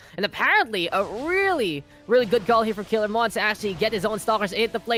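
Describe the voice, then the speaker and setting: Music plays in the background as a man with a high pitch talks at a very fast pace. His pitch variation is ordinary. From Philippines. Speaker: esports caster. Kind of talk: live commentary. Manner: animated.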